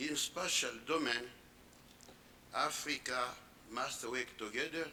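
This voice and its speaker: With a non-native accent, a man speaks at a fairly high pitch with fairly even intonation, and audible room echo surrounds his voice. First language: French. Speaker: conference panelist. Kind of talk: conference panel talk. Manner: halting.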